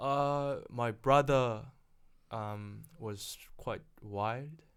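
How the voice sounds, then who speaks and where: A man with a Korean accent speaks at a very slow pace in a medium pitch, his intonation fairly even, on a very clean recording with a silent background. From South Korea, then New Zealand from age 14. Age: 30s. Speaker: property investor. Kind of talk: casual interview.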